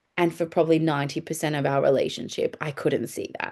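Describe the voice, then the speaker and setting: A woman with a fairly low pitch speaks with vocal fry. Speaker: love and relationship coach. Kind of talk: podcast monologue. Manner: casual, candid.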